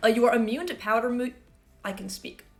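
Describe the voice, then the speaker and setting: An animated woman's voice against noticeable background noise. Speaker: Pokemon gaming YouTuber and streamer. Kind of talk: casual video commentary.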